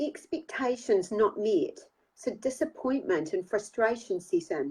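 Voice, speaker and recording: A woman with a New Zealand accent, fairly high in pitch, at a fairly slow pace with very wide pitch swings. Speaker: author and life coach. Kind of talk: reading aloud; casual chat.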